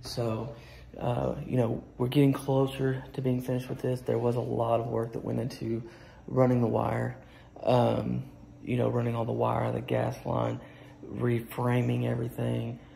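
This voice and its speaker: The speaker is a man at a moderate pace. Light background noise is present. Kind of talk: casual walkthrough tour. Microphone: phone near.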